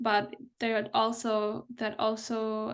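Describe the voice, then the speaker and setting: A woman speaks with a non-native accent. The background is quiet. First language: not English. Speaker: anti-racist therapist and consultant. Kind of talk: interview. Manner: halting, with many restarts.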